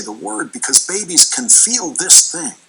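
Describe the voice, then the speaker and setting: Noticeable background noise sits under a man's voice. He moves at a moderate pace, his pitch swinging very widely. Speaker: TV news host. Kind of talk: TV news commentary monologue.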